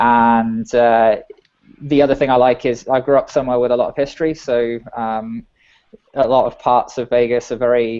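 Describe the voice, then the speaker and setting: A man with an English accent speaks at a medium pitch and a moderate pace. His intonation is monotone and flat. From England. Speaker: software engineer. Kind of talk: casual chat.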